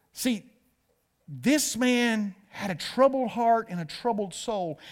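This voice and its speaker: A man with an American accent speaks at a very slow pace. His intonation is lively. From US South, north Georgia. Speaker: pastor. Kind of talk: sermon. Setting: church with live and online audience. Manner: animated.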